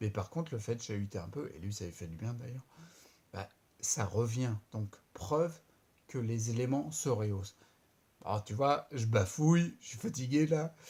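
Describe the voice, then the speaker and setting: A somewhat breathy man with a dark, mellow tone, on a very clean recording with a silent background. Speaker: vlogger with multiple sclerosis. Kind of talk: video diary. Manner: halting, stumbling over words; casual.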